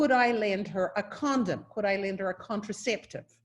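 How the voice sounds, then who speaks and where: Somewhat breathy, a woman speaks at a fairly slow pace. She has a slight New Zealand accent. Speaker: university professor or dean. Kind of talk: welcome address. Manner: hesitant, with restarts.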